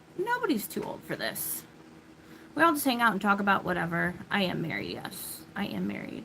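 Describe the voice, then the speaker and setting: A woman with an American accent speaks at a moderate pace with very wide pitch swings, over noticeable background noise. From US Midwest, Illinois. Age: 30s. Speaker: livestreamer. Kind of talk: casual chat.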